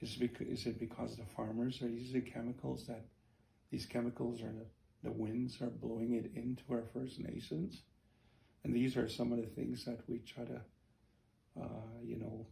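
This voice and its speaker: Man at medium pitch with a dark, mellow tone and vocal fry, flat monotone intonation, a moderate pace and long, frequent pauses. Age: 60s. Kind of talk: interview storytelling. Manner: halting, many fillers.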